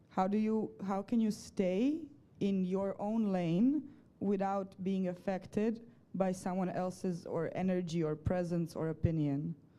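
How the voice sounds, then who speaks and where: Her tone dark and mellow, a woman speaks fairly slowly at a medium pitch with ordinary pitch variation. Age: 20s. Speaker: audience member asking a question. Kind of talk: audience question. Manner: loud.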